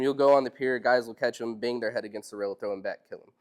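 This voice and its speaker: A man with a North Carolina accent. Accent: Southern US, North Carolina. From US South, Robeson County, North Carolina. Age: 20s. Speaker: fisherman, seminar speaker. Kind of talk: public talk to audience. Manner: hesitant, many fillers.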